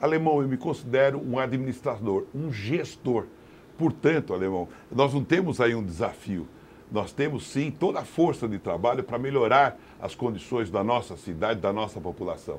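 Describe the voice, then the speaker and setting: A man of medium pitch talks at a moderate pace with lively intonation in a plain, everyday voice. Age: 60s. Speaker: mayoral candidate and businessman. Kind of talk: political interview.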